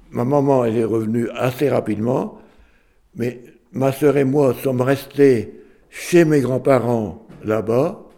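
A man with a dark, mellow tone speaks at a very slow pace and medium pitch, with ordinary pitch variation. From northern France, Lille area. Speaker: retired farmer. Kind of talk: oral history testimony. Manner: hesitant, repetitive.

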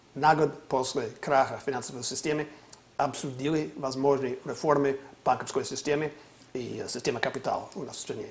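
This man's fairly high voice stays monotone and flat throughout. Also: moderate pace. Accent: American. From US California. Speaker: political analyst. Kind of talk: interview discussion on politics.

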